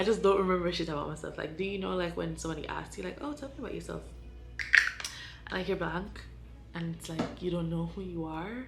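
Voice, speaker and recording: A woman is speaking. The room echo is audible. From Jamaica. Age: 20s. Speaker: vlogger, college student. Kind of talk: casual vlog talk while doing makeup. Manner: hesitant, many fillers.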